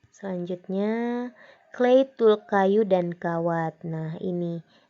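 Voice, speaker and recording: Her pitch is medium and varies in an ordinary way. This woman talks very slowly. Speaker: teacher. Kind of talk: lecture.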